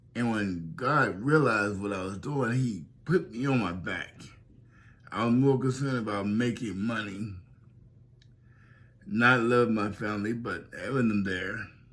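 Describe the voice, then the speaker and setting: A man talks at a fairly slow pace with medium pitch and ordinary pitch variation. Long, frequent pauses break up his speech, and the room echo is audible. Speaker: pastor. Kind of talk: testimony. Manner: slightly unusual, slurred-sounding speech.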